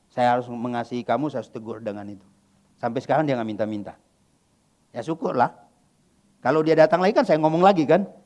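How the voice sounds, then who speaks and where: The man talks very fast with lively intonation at a medium pitch, his loudness swinging widely. His speech is broken by long, frequent pauses. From West Kalimantan, Indonesia. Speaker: pastor. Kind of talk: sermon Q&A. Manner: casual, conversational.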